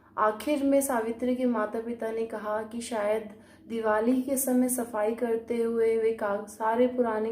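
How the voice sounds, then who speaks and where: Her tone is dark and mellow. This woman speaks with flat, monotone intonation. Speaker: storyteller and channel owner. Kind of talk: storytelling narration.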